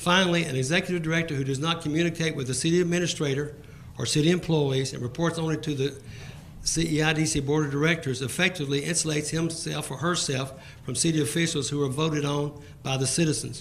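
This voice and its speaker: Very fast speech from a man with an American accent, fairly high-pitched for a man, with fairly even intonation, noticeable background noise and audible room echo. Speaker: citizen speaking at public comment. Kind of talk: public comment at council meeting. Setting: council chamber. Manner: formal.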